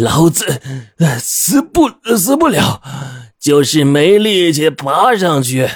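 A man puts on a character voice, fairly high in pitch with big pitch swings and a slightly husky edge. He speaks at a slow pace.

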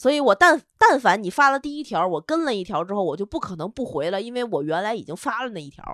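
Talking at a very fast pace with hardly any pauses, a woman with a fairly high pitch makes very wide pitch swings and big swings in loudness. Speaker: podcast co-host. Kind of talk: casual chat.

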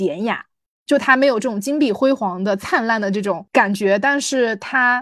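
Using a normal speaking voice, a woman talks at a fairly high pitch and a moderate pace. Her intonation is lively, over a quiet background. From small city in China. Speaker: podcast co-host. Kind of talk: casual chat.

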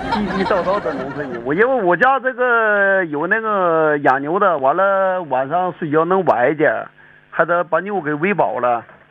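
Lively intonation marks this man's high-pitched voice as he speaks at a moderate pace. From Dalian area, Liaoning (northeast China). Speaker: farmer. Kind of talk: casual chat.

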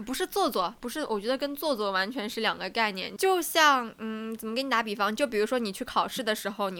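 A woman with an ordinary speaking voice talks at a fairly quick pace in a fairly high pitch, her intonation lively, on a very clean recording with a silent background. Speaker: podcast co-host. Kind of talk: casual chat.

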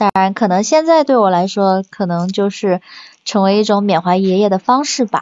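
A woman's unremarkable speaking voice at a moderate pace, very even in loudness, with ordinary pitch variation. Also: medium pitch for a woman. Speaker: office worker. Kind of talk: casual chat.

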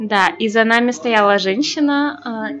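Lively intonation with music in the background. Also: woman. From Belarus. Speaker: language student. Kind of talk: casual chat. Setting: cafe. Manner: halting.

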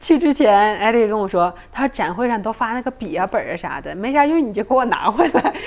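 Noticeable background noise sits behind a woman whose fairly high pitch and lively intonation move at a fairly quick pace. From Northeast China. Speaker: podcast guest. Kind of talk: casual chat.

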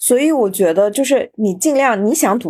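A woman speaks at a moderate pace with lively intonation in a plain, everyday voice. The recording is very clean, with a silent background. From Xinjiang, China. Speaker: podcast host. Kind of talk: casual interview chat.

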